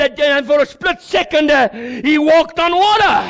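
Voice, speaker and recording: Speaking at a moderate pace over noticeable background noise, a man sounds animated, with ordinary pitch variation. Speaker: pastor. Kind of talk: sermon.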